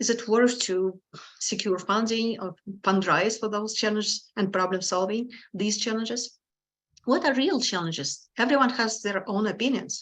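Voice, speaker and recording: Speaking with a strong non-native accent, a woman of fairly high pitch keeps a moderate pace and ordinary pitch variation. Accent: strong foreign. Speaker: hackathon organizer. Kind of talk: event introduction.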